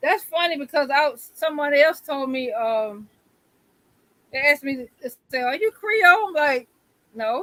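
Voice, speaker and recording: With a Southern US accent, a woman speaks in a high pitch and a bright, sharp tone, her intonation lively and broken by long, frequent pauses, in a dry, close recording with no echo. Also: moderate pace. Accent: picked up local Southern. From Syracuse, New York. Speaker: live stream guest. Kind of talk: casual chat.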